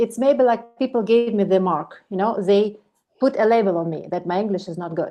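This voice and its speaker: The speaker has a Ukrainian accent. The pace is moderate, with ordinary pitch variation. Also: woman. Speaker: project management expert. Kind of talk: online meetup talk.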